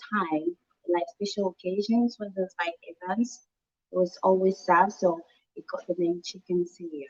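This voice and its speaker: With a dry, close sound and no echo, a woman talks at a moderate pace and medium pitch with ordinary pitch variation. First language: French. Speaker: chef. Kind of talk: cooking demonstration.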